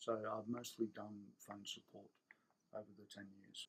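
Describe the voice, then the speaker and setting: With an Australian accent, a man speaks at a moderate pace in a fairly low voice with monotone, flat intonation. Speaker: Apple technical support specialist. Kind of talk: casual talk to camera.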